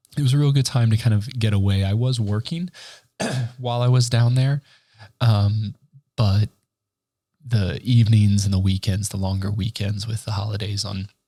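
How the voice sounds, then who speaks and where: A man's voice sounds somewhat breathy, with a dark, mellow tone. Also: ordinary pitch variation, moderate pace. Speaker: podcast host. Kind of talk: casual solo podcast talk. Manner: casual, halting with fillers.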